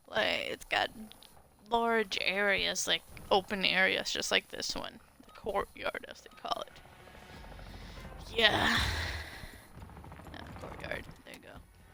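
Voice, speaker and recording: Speech comes at a very slow pace, broken by long, frequent pauses and big swings in loudness. Noticeable background noise sits underneath. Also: woman. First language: not English. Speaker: gaming streamer. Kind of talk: live gameplay commentary. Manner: casual, filler-heavy.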